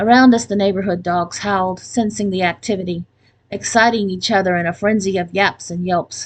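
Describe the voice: This is plain reading aloud. Someone reads a text out.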